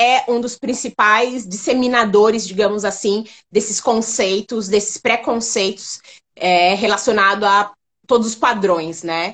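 A plain, everyday voice from a woman, fairly high in pitch, at a fairly slow pace with ordinary pitch variation. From São Paulo, Brazil. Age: 30s. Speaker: online makeup store founder. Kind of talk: interview on a live stream. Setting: online live stream.

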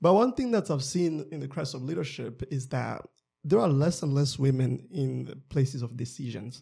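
At a moderate pace, the voice is dark and mellow in tone and somewhat breathy, with ordinary pitch variation. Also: man, medium pitch for a man. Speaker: podcast co-host. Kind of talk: podcast interview.

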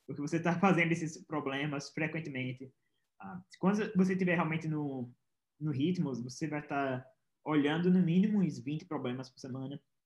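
A man talks at a moderate pace in a fairly high pitch, somewhat breathy, with ordinary pitch variation. His loudness swings widely. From Pernambuco, Brazil. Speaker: software engineer, former programming competitor. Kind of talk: interview.

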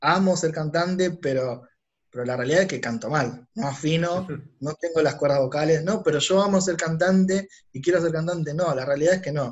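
A man with a plain, everyday voice, fairly high pitch, ordinary pitch variation and a moderate pace. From Argentina, Buenos Aires west zone (Ituzaingó). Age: 30s. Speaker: entrepreneur and business consultant. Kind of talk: casual interview conversation.

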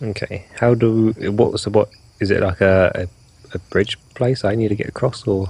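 A man with a British accent, fairly low in pitch and somewhat breathy, at a moderate pace with fairly even intonation. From Britain. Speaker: tabletop role-playing game player. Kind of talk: casual role-playing game chat.

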